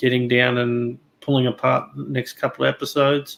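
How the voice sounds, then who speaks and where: In a very clean recording with a silent background, a man of medium pitch speaks with an Australian accent and monotone, flat intonation. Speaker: YouTuber, guest panelist. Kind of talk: casual discussion. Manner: halting, many fillers.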